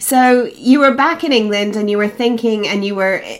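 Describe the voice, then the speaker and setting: A woman with a normal speaking voice and fairly high pitch talks at a moderate pace with ordinary pitch variation. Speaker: podcast host. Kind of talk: interview; solo podcast monologue.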